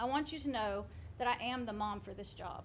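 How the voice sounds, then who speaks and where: A woman talks at a fairly quick pace. There is audible room echo. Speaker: school board candidate. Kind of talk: campaign speech. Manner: loud.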